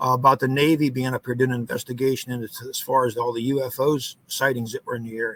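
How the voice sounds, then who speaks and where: A man with an American accent at a medium pitch, talking at a very fast pace with hardly any pauses and monotone, flat intonation. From US, northwest Pennsylvania. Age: 50s. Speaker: foundry worker telling paranormal experiences. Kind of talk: podcast interview. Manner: halting, many fillers.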